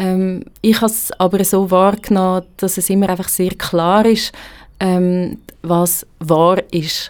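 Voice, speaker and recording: A woman's medium-pitched voice, very slow and monotone with flat intonation. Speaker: journalist, blogger and theology student. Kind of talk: casual interview conversation. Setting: studio.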